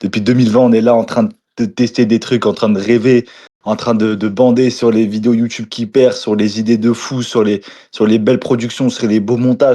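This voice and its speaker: A man with a medium-pitched voice talks at a fairly quick pace in a flat, monotone delivery, his loudness very even against a quiet background. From eastern France, Moselle (Lorraine). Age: 20s. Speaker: food content creator. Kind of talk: casual interview chat.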